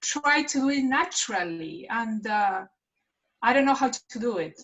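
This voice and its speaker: A woman with a strong Argentine accent speaks at a fairly slow pace, her pitch swinging very widely. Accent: heavy Argentinian Spanish. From Argentina. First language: Spanish. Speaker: actress. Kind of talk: workshop participation. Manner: halting.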